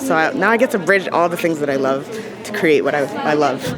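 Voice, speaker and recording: Over crowd noise and audible room echo, a woman speaks at a fairly quick pace in an energetic tone, her fairly low pitch making very wide swings. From Barbados. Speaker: rapper and spoken word poet. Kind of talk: interview.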